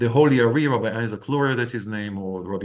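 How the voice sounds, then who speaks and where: A man's medium-pitched voice with an Israeli accent, at a fairly quick pace. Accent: non-native English, Israeli. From Israel, Tel Aviv. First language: Hebrew. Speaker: rabbi and Kabbalah teacher. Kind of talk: lecture. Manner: halting.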